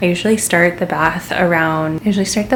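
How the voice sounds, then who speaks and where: There is noticeable background noise as a woman talks in a fairly low pitch. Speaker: mom vlogger. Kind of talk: casual vlog talk to camera. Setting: at home, baby's room then other room. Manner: casual, filler-heavy.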